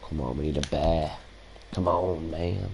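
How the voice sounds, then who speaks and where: A man speaks at a very slow pace in a very deep, low voice, with audible room echo around him. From Salford, Greater Manchester, England. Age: 30s. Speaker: gaming streamer. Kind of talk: casual live-stream chat.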